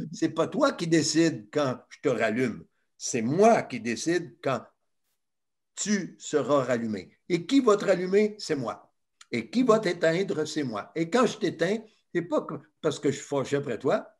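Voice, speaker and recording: Against a quiet background, a man talks at a very slow pace with very wide pitch swings. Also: big swings in loudness. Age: old. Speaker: retired teacher and screen-use educator. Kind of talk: talk to children. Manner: animated. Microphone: video call.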